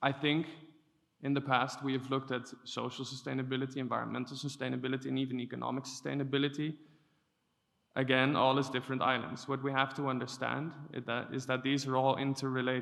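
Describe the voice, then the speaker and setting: Speaking at a very fast pace, a man holds a medium pitch. His intonation is flat and monotone. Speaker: EU policy officer. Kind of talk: conference talk. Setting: conference stage with audience and interpreters.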